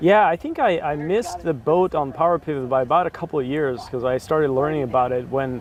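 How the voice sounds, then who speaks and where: This man talks very fast in a Russian accent. His pitch is fairly high, with ordinary variation. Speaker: BI consultant. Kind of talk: casual interview. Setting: sit-down chat.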